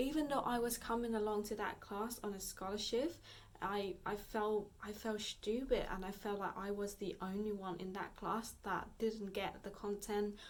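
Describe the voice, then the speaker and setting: A woman's medium-pitched voice, fairly even in intonation, at a moderate pace, with audible room echo. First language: Vietnamese. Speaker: fitness vlogger. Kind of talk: casual vlog talk. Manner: halting, many fillers.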